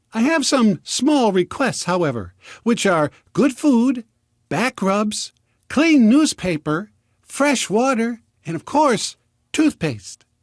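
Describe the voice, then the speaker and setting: In a put-on character voice, a man speaks at an extremely high pitch in a cheerful tone, fairly slowly and with long, frequent pauses, over a quiet background. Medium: read story. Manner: clear and cheerful.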